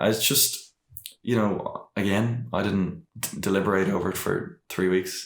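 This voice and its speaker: Here a man speaks with an Irish accent. His pitch is fairly low. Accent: noticeable Irish. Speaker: podcast guest, rapper and vlogger. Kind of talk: casual interview chat. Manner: hesitant, many fillers and restarts.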